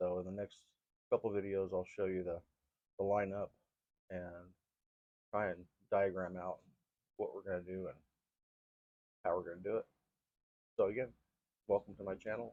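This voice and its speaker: A man mumbles in a fairly low, dark and mellow voice with flat, monotone intonation and long, frequent pauses. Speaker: gardening vlogger. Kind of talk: casual vlog talk. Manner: mumbling; fast.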